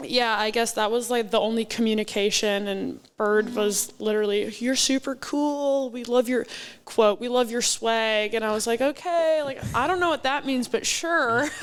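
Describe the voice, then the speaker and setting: On a very clean recording with a silent background, a woman with an American accent speaks in a normal speaking voice at a fairly high pitch, with ordinary pitch variation and a moderate pace. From Wisconsin. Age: 20s. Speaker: professional volleyball player. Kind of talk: casual interview. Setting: live at a sports bar.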